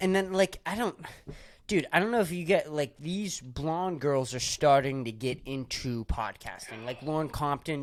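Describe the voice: The speaker has a Boston accent and a moderate pace. The recording is very clean, the background silent.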